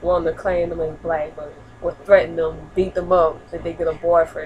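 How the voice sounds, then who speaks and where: With noticeable background noise behind her, a woman speaks at a moderate pace in a fairly low pitch and monotone, flat intonation. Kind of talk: casual talk to camera. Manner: stuttering.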